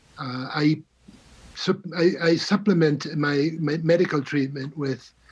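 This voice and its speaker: This man's speech shows ordinary pitch variation. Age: 60s. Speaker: patient advocate. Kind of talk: testimony. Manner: halting.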